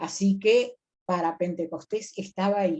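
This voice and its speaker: At a fairly slow pace, a woman speaks at medium pitch in a dark, mellow tone with ordinary pitch variation. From Río de la Plata region. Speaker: biblical scholar and lecturer. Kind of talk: lecture on biblical texts.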